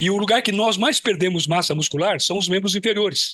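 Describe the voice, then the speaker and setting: Through noticeable background noise, a man speaks in a raised, projected voice. He talks at a fairly quick pace and a high pitch, with ordinary pitch variation. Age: 70s. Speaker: physical education professor. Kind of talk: lecture.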